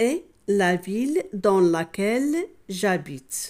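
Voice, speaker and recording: Speaking at a very slow pace, a woman with a Moroccan accent uses a medium pitch with very wide pitch swings. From Morocco. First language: Moroccan Arabic (speaking French). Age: 60s. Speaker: French teacher. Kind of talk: tutorial.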